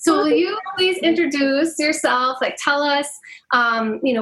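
A woman's high-pitched, fairly bright voice at a fairly slow pace, with ordinary pitch variation

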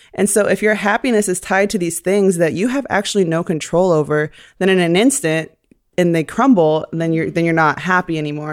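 With an American accent, a woman speaks at a fairly low pitch and a moderate pace, her pitch varying in an ordinary way. It is an unremarkable speaking voice on a very clean recording with a silent background. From Columbia, Missouri, US Midwest. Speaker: photographer and swimwear designer. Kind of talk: casual interview. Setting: studio, on couches.

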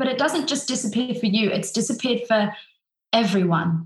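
With an Australian accent, a woman speaks fairly quickly at a fairly high pitch, her intonation lively. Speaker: opera singer. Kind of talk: interview.

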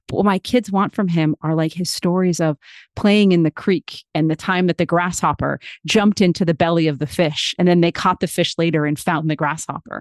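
In an ordinary speaking voice, a woman talks at a fairly quick pace with a fairly low pitch and fairly even intonation, the sound dry and close with no echo against a quiet background. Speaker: podcast host and storyteller. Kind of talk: interview.

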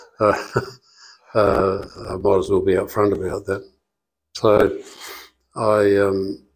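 The pace here is very slow. The speaker is a man with an Australian accent. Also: long, frequent pauses. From Western Australia. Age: 70s. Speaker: dentist. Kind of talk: interview conversation. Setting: studio. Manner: halting.

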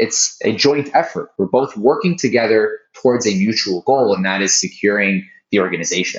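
A plain, everyday voice moves at a moderate pace. It has hardly any pauses. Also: man, medium pitch for a man. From Texas (Dallas), then Israel from high school. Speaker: cybersecurity startup founder and CEO. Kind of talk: interview conversation.

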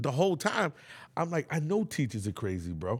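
Over a silent background in a very clean recording, the voice carries a New York accent, very wide pitch swings and a moderate pace. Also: man. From New York, Bronx. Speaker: podcast host. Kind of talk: casual chat.

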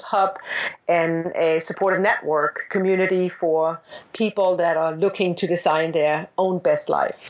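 A woman with a Danish accent and a medium pitch speaks at a fairly slow pace. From Denmark. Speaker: business executive and author. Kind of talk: interview. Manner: halting.

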